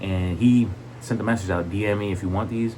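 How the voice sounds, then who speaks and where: A man with a fairly low pitch talks enthusiastically at a fairly quick pace, with ordinary pitch variation. Noticeable background noise and audible room echo are present. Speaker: sneaker collector YouTuber. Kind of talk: casual video vlog, product showcase. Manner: stuttering a lot; enthusiastic, casual.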